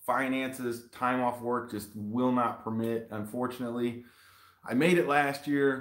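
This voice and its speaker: A man talks at a medium pitch and a fairly slow pace. Audible room echo sits over a quiet background. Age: 40s. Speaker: YouTube hot sauce reviewer. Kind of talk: live stream unboxing chat. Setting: live video stream shot in selfie mode. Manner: animated. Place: home room. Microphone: webcam.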